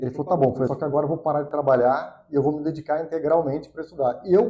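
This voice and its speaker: A man is speaking. His tone is dark and mellow. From Brazil, Piracicaba (São Paulo state interior). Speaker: economist, financial consultant. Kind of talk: podcast interview.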